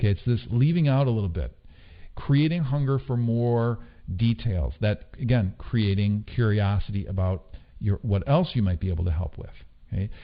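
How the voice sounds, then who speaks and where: A man's fairly low voice with lively intonation. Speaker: online marketing trainer. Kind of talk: online course lecture. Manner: fast.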